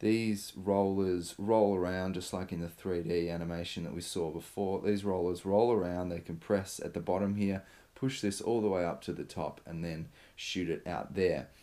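A man's low, dark and mellow voice with fairly even intonation. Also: moderate pace.

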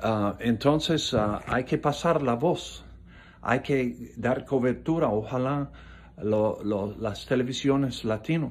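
Speaking at a very slow pace, a man uses a medium pitch with ordinary pitch variation. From South Florida, Coral Gables. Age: 70s. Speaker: political commentator. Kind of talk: political monologue. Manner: halting, many fillers. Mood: earnest, critical. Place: home room. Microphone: phone near.

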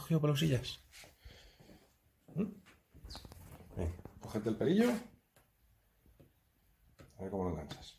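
A man at a fairly slow pace with long, frequent pauses, very wide pitch swings and a slightly mellow tone. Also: medium pitch for a man.

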